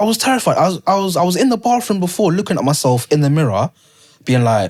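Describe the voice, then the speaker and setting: Very fast and with very wide pitch swings, a man with a London accent talks at a high pitch. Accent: London multicultural English. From London, via Leicester. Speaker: poet. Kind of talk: casual interview chat. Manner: rhythmic, poem-like speech.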